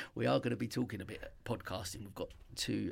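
A man talks at a fairly quick pace in a very deep, low voice with vocal fry. The recording is very clean, with a silent background. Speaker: radio host. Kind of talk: radio show chat. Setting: radio studio.

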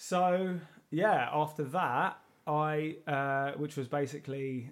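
Recorded very cleanly against a silent background, a man with a London accent speaks at a fairly high pitch with fairly even intonation. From South London. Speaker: artist and podcast host. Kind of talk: interview.

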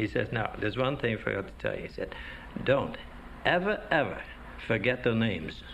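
A man speaks at a moderate pace with long, frequent pauses. Noticeable background noise is present. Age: old. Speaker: retiree and choir director. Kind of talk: interview.

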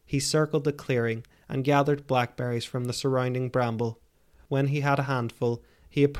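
Fairly even intonation, while reading aloud in a natural voice.

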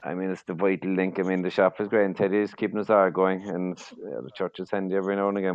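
In a strong Cork accent, a man with a very deep, low pitch speaks at a very fast pace in a monotone, flat intonation. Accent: Cork Irish, strong.

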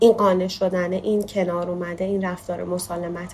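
Moderate-paced speech from a woman, amid noticeable background noise. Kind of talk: testimony.

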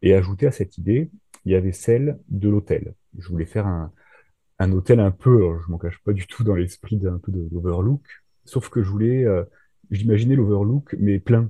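Somewhat breathy and dark, mellow in tone, a man speaks at a fairly low pitch with ordinary pitch variation and long, frequent pauses, in a dry, close sound with no echo. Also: moderate pace, quiet background. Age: 30s. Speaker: thriller author and nurse. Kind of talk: casual interview. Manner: hesitant, many fillers.

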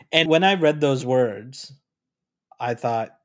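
Using an ordinary speaking voice, a man talks while his pitch shifts in an ordinary way. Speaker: podcaster friend. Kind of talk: casual chat. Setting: remote recording.

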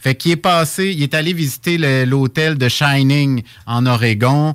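A man with a normal speaking voice, fairly high in pitch, at a fairly slow pace with ordinary pitch variation, in a dry, close sound with no echo on a very clean recording with a silent background. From Quebec, Laurentides (Saint-Jérôme). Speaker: monthly radio columnist on pilgrimage. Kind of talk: radio chronicle discussion.

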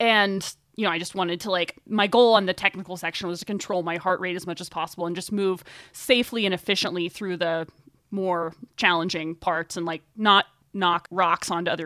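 In an ordinary speaking voice with an American accent, a woman with a fairly low pitch talks at a fairly quick pace with fairly even intonation, the sound dry and close with no echo on a very clean recording with a silent background. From US South, Northwest Arkansas. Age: 20s. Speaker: runner, writer and podcast host. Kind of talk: interview conversation.

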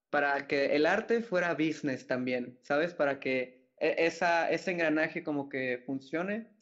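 Against a quiet background, a man talks in an unremarkable speaking voice pitched fairly high. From Mexico, Mérida (Yucatán); born in Mexico City. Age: 20s. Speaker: wedding photographer. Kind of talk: casual chat.

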